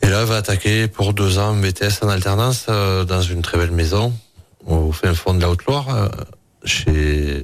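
Music plays behind a man with a very deep, low voice and ordinary pitch variation. His loudness stays very even as he speaks at a fairly slow pace. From Hautes-Pyrénées, southwest France. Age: 40s. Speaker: chef. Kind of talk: radio interview.

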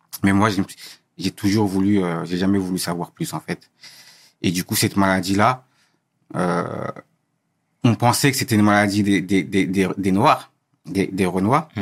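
A man's fairly low voice at a moderate pace, ordinary pitch variation, on a very clean recording with a silent background. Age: 20s. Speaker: guest sharing personal story. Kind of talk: interview testimony. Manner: halting, many repetitions and hesitations.

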